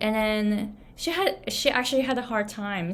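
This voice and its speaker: With a Japanese accent, a woman talks at a medium pitch in a somewhat breathy voice, with ordinary pitch variation and audible room echo. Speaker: business and pronunciation coach. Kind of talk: motivational talk. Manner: casual, with fillers.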